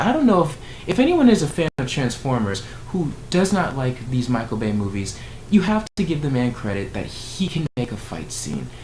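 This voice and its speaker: A man with a fairly high pitch and very wide pitch swings at a moderate pace, with noticeable background noise. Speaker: YouTuber reviewing movie trailers. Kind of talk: casual vlog reaction commentary. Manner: rambling, with filler words.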